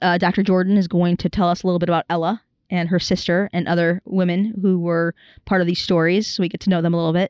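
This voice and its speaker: In a very clean recording with a silent background and a dry, close sound with no echo, a woman speaks very fast in a fairly low, monotone, flat voice. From Chicago. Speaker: museum director. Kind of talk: interview. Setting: craft brewery. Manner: hesitant, many fillers.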